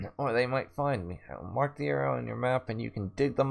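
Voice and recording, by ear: Someone is reading aloud in a natural voice. The words are read from a text.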